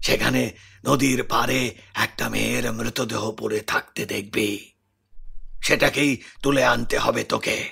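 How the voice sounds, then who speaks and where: Using a raspy, cartoonish character voice at a medium pitch, a man speaks at a fairly slow pace. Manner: commanding.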